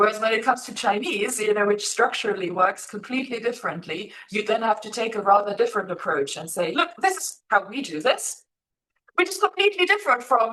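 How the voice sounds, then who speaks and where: Speaking in a German accent, a woman uses a fairly high pitch with very wide pitch swings. Her loudness swings widely and her pace is fairly quick. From Germany. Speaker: Sanskrit scholar and teacher. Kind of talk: interview conversation. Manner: hesitant, many fillers.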